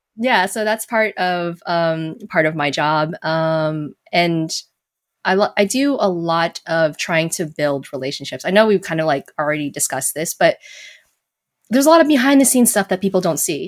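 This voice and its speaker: The recording is very clean, with a silent background. A woman with an American accent talks at a moderate pace in an unremarkable speaking voice, fairly low-pitched, with lively intonation. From Las Vegas, Nevada, US. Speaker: video game community manager. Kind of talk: casual chat. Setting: live-streamed podcast.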